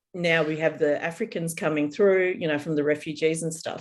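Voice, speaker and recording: Fairly low-pitched woman's voice with an Australian accent. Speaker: podcast co-host, psychic reader. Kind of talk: casual chat.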